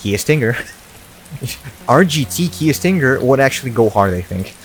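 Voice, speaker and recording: Music plays in the background as a man with a Russian accent talks at a moderate pace. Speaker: gaming YouTuber. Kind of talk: Q&A video monologue. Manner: casual, hesitant with fillers.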